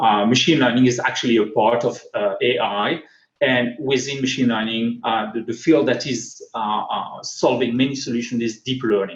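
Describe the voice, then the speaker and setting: A man talks at a moderate pace with a strong French accent. His pitch is medium and his intonation fairly even. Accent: thick French. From France. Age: 40s. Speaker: tech speaker. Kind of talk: conference talk. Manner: halting.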